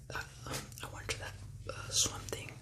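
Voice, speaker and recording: A man whispers at a fairly slow pace with an American accent. Noticeable background noise sits behind him. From California, USA. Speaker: ASMR creator. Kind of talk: ASMR whispered talk to camera. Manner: whispered, calming.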